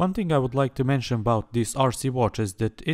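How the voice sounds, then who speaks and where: In a very clean recording with a silent background and a dry, close sound with no echo, a man of medium pitch with a non-native accent speaks at a moderate pace with ordinary pitch variation. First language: not English. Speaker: tech reviewer. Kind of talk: product review. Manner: hesitant, many fillers.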